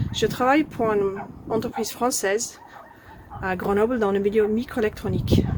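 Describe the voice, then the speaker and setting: A woman's fairly high, fairly even voice at a moderate pace, with long, frequent pauses and noticeable background noise. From Ireland. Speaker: microelectronics employee. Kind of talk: campaign testimonial.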